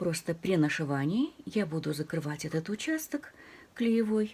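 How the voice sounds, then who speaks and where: A soft-spoken woman with a fairly low pitch and a dark, mellow, somewhat breathy tone talks at a fairly slow pace with lively intonation. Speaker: crafts channel host. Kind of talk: tutorial.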